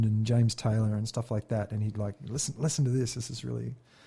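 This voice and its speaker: Over a quiet background, a man with an Australian accent talks at a fairly quick pace in a dark, mellow, somewhat breathy tone. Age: 40s. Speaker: former Olympic sprinter turned musician. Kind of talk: casual chat.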